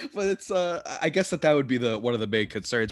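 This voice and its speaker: Speaking at a very fast pace with lively intonation, a man comes through on a very clean recording with a silent background. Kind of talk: casual chat.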